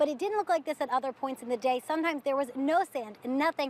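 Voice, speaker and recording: A woman's high voice at a very fast pace, with ordinary pitch variation, a dry, close sound with no echo, and noticeable background noise. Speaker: television news reporter. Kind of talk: TV news reporter reel, live report and package narration.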